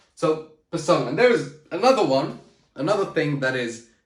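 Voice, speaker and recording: With audible room echo, a man speaks at a moderate pace in a fairly high, animated voice full of lively intonation. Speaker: public speaking coach. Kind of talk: motivational talk to camera. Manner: loud, shouting; high energy, animated.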